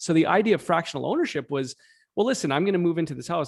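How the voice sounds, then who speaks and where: A man's very fast speech with vocal fry and ordinary pitch variation, on a very clean recording against a silent background. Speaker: real estate brokerage co-founder. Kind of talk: interview. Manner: halting, many fillers.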